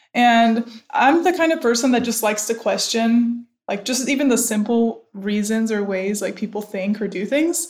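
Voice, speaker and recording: In an American accent, this speaker talks at a moderate pace with ordinary pitch variation. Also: woman, fairly high pitch for a woman. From US Midwest, Cleveland, Ohio. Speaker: startup co-founder. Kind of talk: interview.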